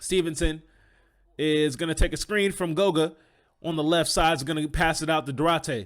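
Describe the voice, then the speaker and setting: A man with an unremarkable speaking voice talks at a moderate pace and a fairly high pitch with fairly even intonation. The recording is very clean with a silent background. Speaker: basketball play-by-play commentator. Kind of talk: sports play-by-play commentary.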